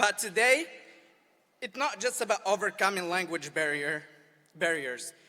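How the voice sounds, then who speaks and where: With an Arabic accent, a man speaks in a high, bright, sharp voice that is raised and projected, using lively intonation at a moderate pace broken by long, frequent pauses. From Morocco. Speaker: student speaker. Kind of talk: graduation speech. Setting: outdoor amphitheater with audience.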